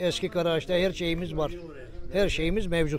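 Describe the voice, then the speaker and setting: A man speaks in a high pitch with fairly even intonation. Audible room echo and noticeable background noise surround him. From Turkey, Bursa region village. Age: 60s. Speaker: villager. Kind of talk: interview.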